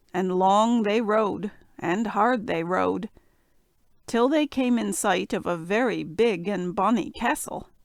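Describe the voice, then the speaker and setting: A raspy, female-sounding put-on character voice at medium pitch moves along at a fairly slow pace. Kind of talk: bedtime fairy tale reading. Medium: read story.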